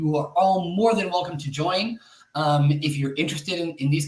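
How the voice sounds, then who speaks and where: Here a man with an American accent has an unremarkable speaking voice and a fairly high pitch. He talks at a moderate pace with ordinary pitch variation. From northern California. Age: 30s. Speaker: tech community leader and speaker. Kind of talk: webinar talk. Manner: frequent fillers, um and uh.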